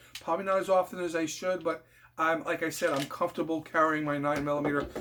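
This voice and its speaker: Noticeable background noise is present. Over it, a man talks in a high pitch. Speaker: firearms video creator. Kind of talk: informal tutorial. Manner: fast, rushing; halting, many fillers.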